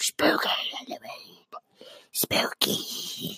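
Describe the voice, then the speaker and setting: A put-on character voice, raspy and pitched extremely high, carries the whole clip. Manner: spooky, menacing.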